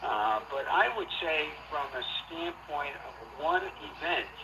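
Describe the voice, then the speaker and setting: A man's fairly high voice with an American accent and lively intonation, over noticeable background noise. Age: 60s. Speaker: sports historian. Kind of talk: interview.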